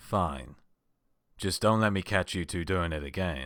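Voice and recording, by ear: A man puts on a gruff character voice with a very deep, low pitch, on a very clean recording with a silent background.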